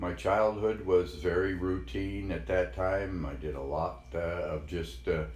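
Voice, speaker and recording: A man with a General American accent speaks at a very slow pace in a very deep, low pitch with vocal fry and audible room echo. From Colorado, Denver. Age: 70s. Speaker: grandfather interviewee. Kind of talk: oral history interview. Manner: halting, many fillers.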